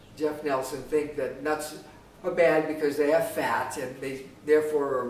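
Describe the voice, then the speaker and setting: A man talks at a moderate pace in a fairly high pitch with fairly even intonation, amid audible room echo and noticeable background noise. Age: 60s. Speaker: health commentator. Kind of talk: monologue response video. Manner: halting, many fillers.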